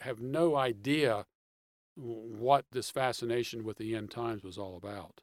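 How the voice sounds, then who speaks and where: A man at medium pitch talks at a moderate pace in an unremarkable speaking voice with ordinary pitch variation, recorded very cleanly against a silent background. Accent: American. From Pittsburgh, Pennsylvania. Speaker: author and theology writer. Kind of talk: interview.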